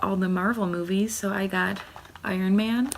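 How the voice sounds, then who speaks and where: A woman speaks quietly at a moderate pace, her intonation flat and monotone. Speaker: booktuber. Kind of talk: casual vlog book haul. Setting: at home. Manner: talking quietly.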